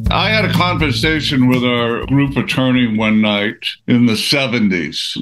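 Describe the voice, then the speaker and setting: Over noticeable background noise, a man speaks at a medium pitch with lively intonation. His loudness stays very even, and his pace is fairly slow. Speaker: musician. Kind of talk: casual interview. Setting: video call.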